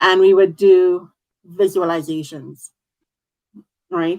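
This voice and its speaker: With ordinary pitch variation, a woman talks in a medium-pitched voice. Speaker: talk show host. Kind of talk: online interview host.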